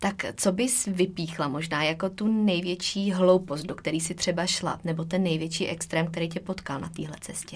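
A woman's somewhat breathy voice with monotone, flat intonation at a moderate pace. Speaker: podcast host, nutrition coach. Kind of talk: interview.

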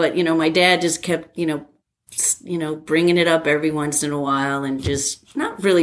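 A woman with an American accent has a very deep, low pitch and ordinary pitch variation. She speaks at a moderate pace in a very clean recording with a silent background. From New Jersey. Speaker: airline pilot and former college athlete. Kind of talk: casual interview.

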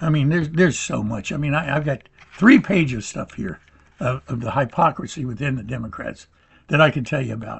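With an American accent, a man talks at a fairly quick pace. His voice is somewhat breathy. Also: fairly high pitch for a man, ordinary pitch variation. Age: 70s. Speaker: podcast host. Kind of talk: political monologue. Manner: hesitant, with fillers.

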